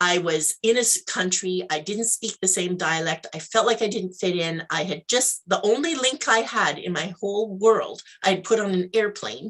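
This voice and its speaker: With a western Canadian accent, a woman talks at a moderate pace and medium pitch, her intonation lively and hardly any pauses. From Canada, Alberta. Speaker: life mentor, entrepreneur. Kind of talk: interview, personal story. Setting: live video interview.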